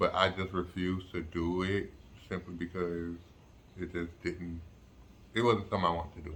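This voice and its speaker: With long, frequent pauses, a man speaks in a very deep, low pitch at a moderate pace, his intonation monotone and flat. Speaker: vlogger recovering from jaw surgery. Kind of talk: casual vlog update. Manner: halting, many fillers.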